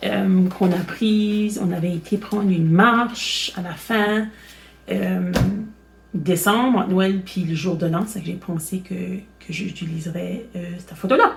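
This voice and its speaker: Very slowly, a woman of medium pitch speaks with fairly even intonation but big swings in loudness. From Acadian Nova Scotia (Chéticamp, Cape Breton). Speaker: crafting video host. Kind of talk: tutorial. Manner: hesitant, many fillers.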